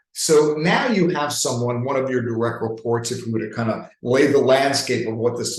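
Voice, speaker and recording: A man speaks at a medium pitch with a New York accent. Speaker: leadership coach. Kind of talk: webinar presentation. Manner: animated.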